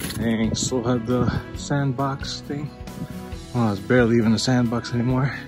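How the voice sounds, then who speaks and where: Over clear background music, a man talks in a monotone, flat intonation. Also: moderate pace. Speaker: vlogger giving a hometown tour. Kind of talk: casual vlog tour. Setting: outdoors. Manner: quiet. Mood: nostalgic, reminiscing.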